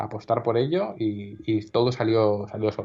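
Fairly low-pitched and with fairly even intonation, a man's a normal speaking voice. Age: 30s. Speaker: magazine director. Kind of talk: interview.

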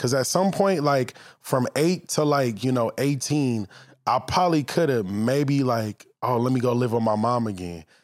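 A man speaks at a medium pitch with an American accent and lively intonation, in a normal speaking voice. The recording is very clean with a silent background, and his loudness stays very even. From Los Angeles, San Fernando Valley. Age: 30s. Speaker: actor and former football player. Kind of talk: casual chat. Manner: laid-back.

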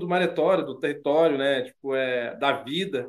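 This is a man speaking. His pace is fairly slow. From Trindade, Paraty coast, Rio de Janeiro, Brazil. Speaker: artisanal fisherman. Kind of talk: interview testimony.

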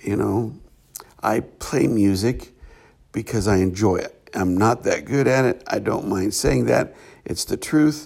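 With lively intonation and vocal fry, a man speaks in a fairly low pitch, leaving long, frequent pauses. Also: fairly slow pace. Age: 50s. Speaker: podcast host on spirituality. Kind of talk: reflective solo monologue. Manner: halting, with frequent fillers.

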